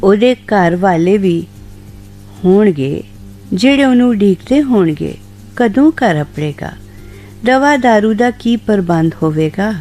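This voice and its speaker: With music in the background, a woman's speech carries lively intonation. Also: medium pitch for a woman. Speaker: radio presenter. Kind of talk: short story reading on radio.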